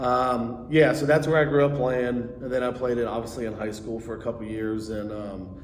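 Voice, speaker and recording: At a fairly quick pace, a man with a US Midwestern accent speaks at medium pitch with fairly even intonation, amid noticeable background noise and audible room echo. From US Midwest, Cincinnati area (Oakley). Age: 40s. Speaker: lacrosse coach. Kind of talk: podcast interview. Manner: casual, with many fillers.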